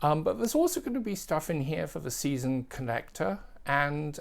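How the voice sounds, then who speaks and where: An English accent on a very clean recording with a silent background. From England. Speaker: record collector and music video presenter. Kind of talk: casual tutorial.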